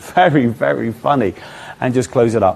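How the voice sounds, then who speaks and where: Speaking with an English accent, a man talks at a fairly quick clip. His medium-pitched voice has lively intonation. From England. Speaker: magician. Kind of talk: interview. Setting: live online event.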